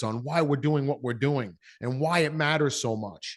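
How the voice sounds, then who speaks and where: Over a quiet background, a man with a slight New York accent talks at a fairly high pitch with ordinary pitch variation. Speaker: business coach. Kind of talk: interview. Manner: animated.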